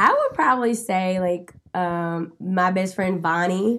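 A woman's ordinary speaking voice with an American accent, medium in pitch with fairly even intonation, in a very clean recording with a silent background. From North Carolina, Winston-Salem. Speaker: food writer and home cook. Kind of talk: casual interview.

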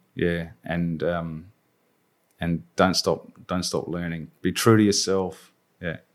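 A man speaks at a very slow pace in a very deep, low pitch with monotone, flat intonation. The recording is very clean, with a silent background. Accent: Australian. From Australia, Adelaide. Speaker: agile coach. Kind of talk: interview. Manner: halting.

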